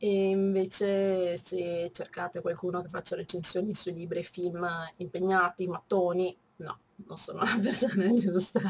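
Nasal and monotone, with flat intonation, a woman speaks over noticeable background noise. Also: fairly slow pace. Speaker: book reviewer. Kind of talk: casual talk to camera.

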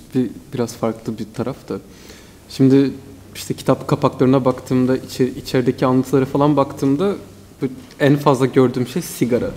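Fairly quick pace and fairly even intonation from a man. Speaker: student moderator. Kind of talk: panel discussion question. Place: hall. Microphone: podium.

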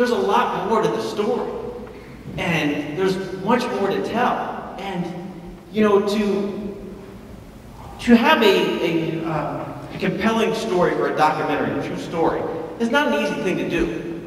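At a fairly slow pace, a man speaks with high pitch and ordinary pitch variation, with audible room echo and light background noise. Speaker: film producer. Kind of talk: announcement presentation to an audience. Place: hall.

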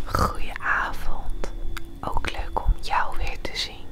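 The speaker is a woman, and she whispers. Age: 20s. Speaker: ASMR creator. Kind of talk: ASMR role play. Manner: whispered, soft-spoken. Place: home room. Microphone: lapel.

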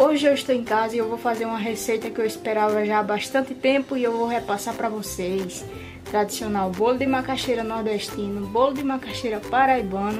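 Someone talks at a fairly quick pace with hardly any pauses while music plays clearly in the background. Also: woman, fairly even intonation. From Paraíba, Brazil. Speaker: home cook, YouTuber. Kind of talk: cooking tutorial talk to camera. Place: kitchen. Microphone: phone near.

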